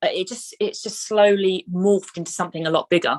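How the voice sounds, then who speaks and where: Here a woman speaks in a London accent at a medium pitch. The sound is dry and close, with no echo. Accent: British (London). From Southeast London, England. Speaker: actress and film producer. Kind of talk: interview. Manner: halting, many fillers and repetitions.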